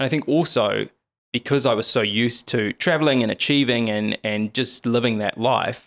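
A man with a New Zealand accent speaks at a moderate pace and a medium pitch, with ordinary pitch variation. The recording is very clean, with a silent background and a dry, close sound with no echo. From New Zealand, Lower Hutt. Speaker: TV journalist and author. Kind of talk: interview conversation.

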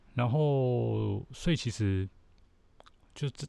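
A man speaks with lively intonation. His voice is somewhat breathy, with a dark, mellow tone. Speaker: podcast host. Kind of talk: solo commentary monologue.

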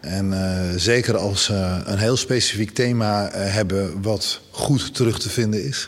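Speaking at a fairly slow pace, a man with a fairly low pitch and ordinary pitch variation is heard over noticeable background noise. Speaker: presenter and LGBTI activist. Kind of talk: interview.

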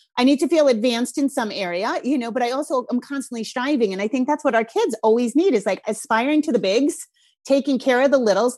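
Very fast delivery in a strong Rhode Island accent, with ordinary pitch variation. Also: woman, high pitch for a woman. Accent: Rhode Island, thick. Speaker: parenting podcast host. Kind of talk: casual interview chat.

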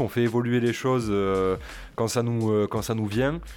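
The speaker is a man with a medium-pitched voice. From Toulouse, southern France. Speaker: podcast co-host. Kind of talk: casual chat.

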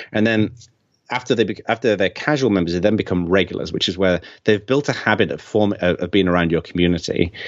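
Very fast delivery with ordinary pitch variation. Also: man, fairly low pitch for a man. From England. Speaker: community strategist and author. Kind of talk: casual interview.

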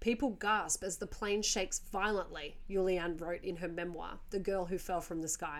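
This woman speaks at a moderate pace, her pitch fairly low for a woman. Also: fairly even intonation.

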